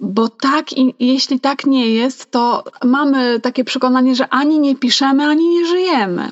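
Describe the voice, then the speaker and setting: Music plays in the background as a woman with a high pitch talks at a moderate pace, her loudness very even and her pitch variation ordinary. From Poland, Mazovia, small town. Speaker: podcast co-host, hobby writer. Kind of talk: casual chat.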